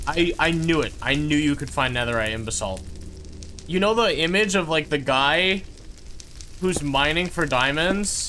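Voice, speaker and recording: A man's fairly high voice with an American accent, lively intonation and a moderate pace, broken by long, frequent pauses, amid noticeable background noise and audible room echo. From California. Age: 20s. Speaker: gaming streamer. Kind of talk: live gameplay stream chat. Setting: live stream. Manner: casual, rambling filler words.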